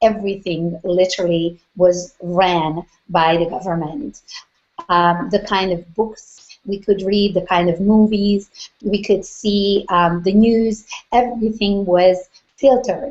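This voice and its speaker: Speaking with a Hungarian accent, a woman uses a medium pitch and ordinary pitch variation at a fairly slow pace. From Hungary. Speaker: business coach. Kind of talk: interview.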